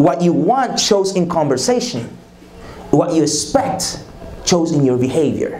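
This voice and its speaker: A man with a high pitch speaks at a fairly slow pace, with very wide pitch swings and long, frequent pauses. Audible room echo and noticeable background noise surround his voice. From Dominican Republic. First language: Spanish. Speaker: leadership conference speaker. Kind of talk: leadership talk. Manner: repetitive, emphatic.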